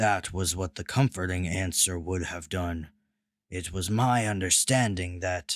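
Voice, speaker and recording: A man booms in a put-on character voice at a very deep, low pitch and moderate pace, on a very clean recording with a silent background. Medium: read story. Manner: flat, formal, literal, no contractions.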